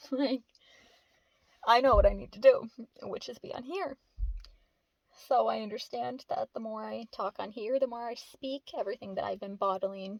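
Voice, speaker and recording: A woman with a high pitch talks at a moderate pace in an animated tone. The sound is dry and close with no echo. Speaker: vlogger. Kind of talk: casual monologue to camera. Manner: rambling, animated.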